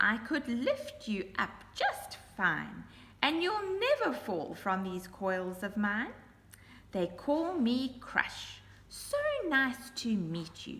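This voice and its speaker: A woman's high, put-on character voice, very slow and with very wide pitch swings, with hissing. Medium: read story. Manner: hissing, whispering, oily politeness.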